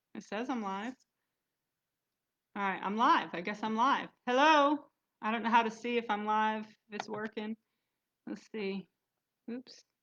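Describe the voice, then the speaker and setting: Pitched fairly high, a woman talks at a fairly slow pace with ordinary pitch variation and long, frequent pauses. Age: 40s. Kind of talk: casual talk to camera on a livestream. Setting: live venue.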